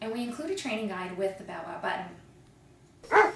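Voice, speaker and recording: Lively intonation and a fairly high pitch mark a woman's otherwise unremarkable speaking voice. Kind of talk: TV commercial read.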